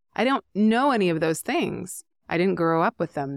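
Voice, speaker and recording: In a normal speaking voice with a Canadian accent, a woman at a medium pitch speaks with lively intonation at a moderate pace, the sound dry and close with no echo on a very clean recording with a silent background. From Canada, rural British Columbia. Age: 40s. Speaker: astrologer and author. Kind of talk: casual interview chat.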